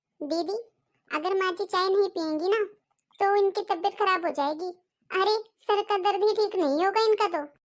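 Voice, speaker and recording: A woman puts on a cartoonish character voice at a moderate pace. Her pitch is extremely high. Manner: polite, soft-spoken.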